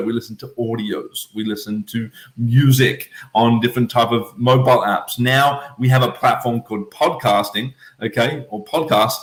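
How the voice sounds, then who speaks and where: The speaker is a man with a medium pitch. His voice is somewhat breathy, and his pace is moderate. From Australia, Melbourne (Eltham). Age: 20s. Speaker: podcast host, travel entrepreneur. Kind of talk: casual podcast monologue, livestream. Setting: at home, livestream. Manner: animated, filler-heavy.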